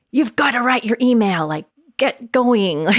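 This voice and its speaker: Using a put-on character voice, a woman speaks at a fairly high pitch and moderate pace. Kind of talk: commanding. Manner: bossy, harsh, pushy.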